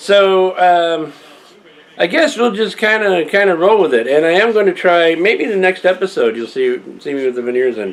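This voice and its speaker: A man speaks with very wide pitch swings. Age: old. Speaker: video blogger. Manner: halting.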